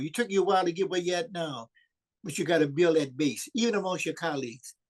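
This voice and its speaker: A man with a New Orleans accent, high-pitched for a man, at a fairly quick pace. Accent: Southern US, New Orleans. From US South, New Orleans, Louisiana. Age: 80s+. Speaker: community organizer. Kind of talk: video call discussion. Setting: video call.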